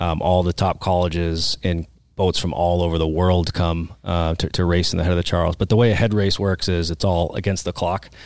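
A man with an American accent speaks in a very deep, low pitch with monotone, flat intonation and very even loudness. He goes at a fairly quick pace with hardly any pauses, on a very clean recording with a silent background. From central Massachusetts (Oxford, near Worcester). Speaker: fitness adventurer, CrossFit athlete. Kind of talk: casual interview chat.

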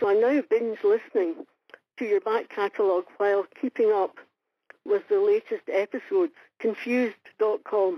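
A woman's fairly high voice at a moderate pace, with very wide pitch swings and very even loudness. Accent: Scottish. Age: 70s. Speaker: listener leaving a voicemail. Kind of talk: voicemail message. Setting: phone call.

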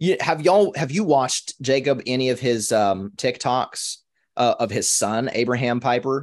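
A man with an American accent speaks at a medium pitch and a moderate pace, in a plain, everyday voice. His loudness stays very even, pitch variation is ordinary, and the background is quiet. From Minnesota. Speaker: podcast co-host. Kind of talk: casual discussion.

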